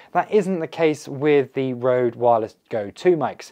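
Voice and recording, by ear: Medium pitch from a man, with a dark, mellow tone, lively intonation and a fairly slow pace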